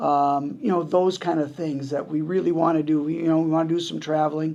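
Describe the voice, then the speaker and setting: Very fast and monotone, a man talks with a fairly high pitch and a dark, mellow tone in audible room echo. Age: 70s. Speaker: retiring college hockey coach and athletics administrator. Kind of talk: press conference. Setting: press conference. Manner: conversational, with frequent fillers and restarts.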